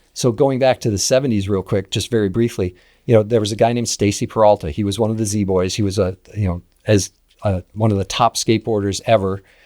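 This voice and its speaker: A man with an American accent talks at a very fast pace in a fairly low, dark, mellow voice with fairly even intonation. The sound is dry and close with no echo, on a very clean recording with a silent background. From US Midwest, St. Louis. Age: 60s. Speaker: skateboarder and slalom racer. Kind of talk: podcast interview. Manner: casual, halting with repeated words.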